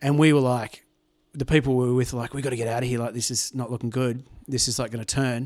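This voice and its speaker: Speaking very fast in a monotone, flat intonation, a man comes through with an Australian accent. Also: medium pitch for a man. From Tamworth, New South Wales, Australia. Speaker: musician. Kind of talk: casual chat. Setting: at the guest's home.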